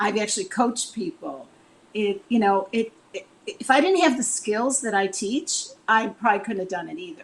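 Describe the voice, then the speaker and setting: Using a plain, everyday voice, a woman with an American accent speaks at a moderate pace with lively intonation and big swings in loudness. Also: fairly high pitch for a woman. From Chicago, US Midwest. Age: 60s. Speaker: relationship coach. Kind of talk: interview.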